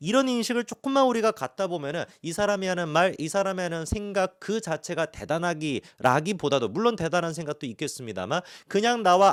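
On a very clean recording with a silent background and a dry, close sound with no echo, a man speaks with a high pitch, lively intonation and a fairly quick pace. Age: 30s. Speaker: YouTuber. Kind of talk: monologue talk to camera.

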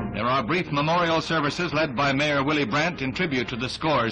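The speech moves at a fairly quick pace with ordinary pitch variation. Music plays in the background. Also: man. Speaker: newsreel narrator. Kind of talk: 1960s newsreel narration.

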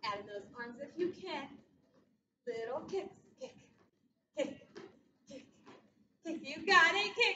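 A woman's high, bright, sharp, upbeat voice, raised and projected, at a very slow pace with long, frequent pauses, very wide pitch swings and big swings in loudness, in audible room echo over light background noise. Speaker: fitness instructor. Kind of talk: workout class cueing. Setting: video workout. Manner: upbeat, encouraging, rhythmic cueing with countdowns; warm, supportive, reassuring. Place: gym. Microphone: camera far.

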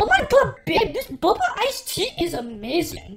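In a put-on character voice, the speaker uses an extremely high pitch, very wide pitch swings and an upbeat tone at a moderate pace.

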